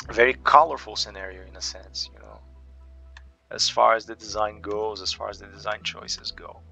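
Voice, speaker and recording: Over music in the background, a man with a non-native accent talks at a moderate pace with big swings in loudness. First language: not English. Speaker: gaming youtuber. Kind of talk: gameplay commentary. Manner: halting, many repetitions and fillers.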